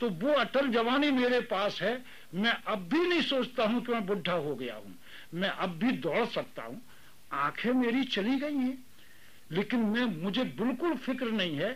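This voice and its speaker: A man speaks with lively intonation. His pitch is extremely high. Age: 70s. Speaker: retired teacher and private tutor. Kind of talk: interview.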